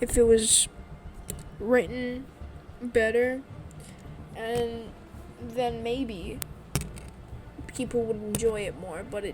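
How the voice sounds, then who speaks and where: A woman speaks quietly and very slowly at a fairly high pitch, with fairly even intonation and long, frequent pauses. Her loudness swings widely over noticeable background noise. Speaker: gaming YouTuber. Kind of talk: video essay commentary. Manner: halting.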